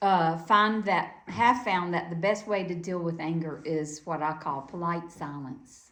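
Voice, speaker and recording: Fairly low-pitched woman with a Southern US accent at a very slow pace, ordinary pitch variation, in audible room echo. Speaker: Quaker speaker. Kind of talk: sermon.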